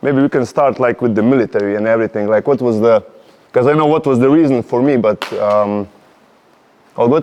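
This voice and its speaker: The speaker has a Slovenian accent. The pitch varies an ordinary amount. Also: man. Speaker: podcast host. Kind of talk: casual interview chat. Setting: warehouse. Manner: halting.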